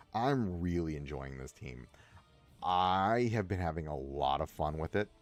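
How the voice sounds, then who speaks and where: Music plays in the background as a man with a very deep, low pitch speaks at a fairly slow pace with lively intonation. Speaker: gaming streamer. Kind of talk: livestream gameplay commentary. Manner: casual, rambling with frequent self-interruptions.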